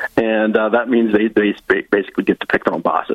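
With an Upper Midwest accent, a man rattles along at a very fast pace over noticeable background noise. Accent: Upper Midwest American. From Northwest Iowa (Lyon County). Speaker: political party director. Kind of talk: interview.

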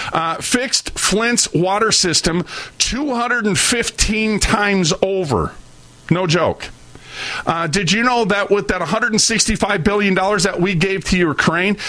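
In a raised, projected voice of very even loudness, a man with an American accent and a high pitch talks at a fairly slow pace with ordinary pitch variation, over noticeable background noise. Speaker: radio host. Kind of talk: angry rant. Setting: studio. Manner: loud, fiery, indignant; preachy, sarcastic.

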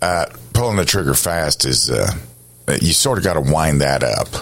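A man with a very deep, low pitch uses lively intonation and a moderate pace, and noticeable background noise is present. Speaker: radio talk show host. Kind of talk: radio interview.

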